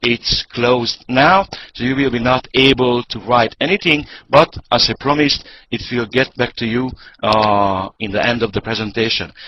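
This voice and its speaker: Speaking at a fairly slow pace with a non-native accent, this voice shows ordinary pitch variation. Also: man. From Hungary. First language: Hungarian. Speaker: network marketing presenter. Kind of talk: sales pitch. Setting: online conference call.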